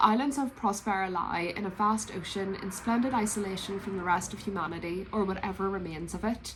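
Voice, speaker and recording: In a Northern Irish accent, a woman speaks very fast at a medium pitch with ordinary pitch variation and hardly any pauses, amid audible room echo and noticeable background noise. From Northern Ireland, Belfast. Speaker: book vlogger. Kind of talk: casual vlog chat.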